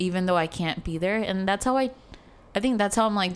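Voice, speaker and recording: A woman at medium pitch with an American accent and fairly even intonation. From Chicago, US. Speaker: guest on identity podcast. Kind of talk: casual chat.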